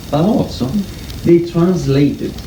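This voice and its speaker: A man with an Italian accent is heard through noticeable background noise and audible room echo. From Italy. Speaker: conference speaker. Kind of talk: talk to an audience. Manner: hesitant, many fillers.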